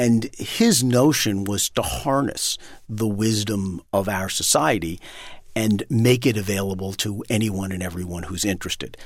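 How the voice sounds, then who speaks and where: In an unremarkable speaking voice, a man talks at a moderate pace with a fairly low pitch and ordinary pitch variation. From New York City (Manhattan). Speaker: entrepreneur. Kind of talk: interview.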